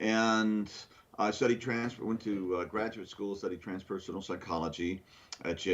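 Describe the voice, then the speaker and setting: A man is speaking. His pace is fairly quick. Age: 60s. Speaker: CEO and brainwave entrainment expert. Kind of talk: interview. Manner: halting.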